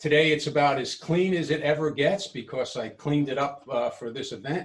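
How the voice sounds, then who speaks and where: A man's somewhat breathy voice, fairly high in pitch, at a moderate pace with ordinary pitch variation. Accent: New York. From New York City, Brooklyn. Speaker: woodturner. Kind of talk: workshop tour. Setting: home workshop, video presentation. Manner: hesitant, many fillers.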